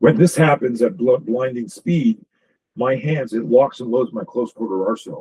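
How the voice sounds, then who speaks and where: A man speaks at medium pitch and a moderate pace with ordinary pitch variation. His dark, mellow tone is somewhat breathy, in a dry, close sound with no echo. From Canada. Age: 60s. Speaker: self-defense instructor. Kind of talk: podcast interview. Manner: animated.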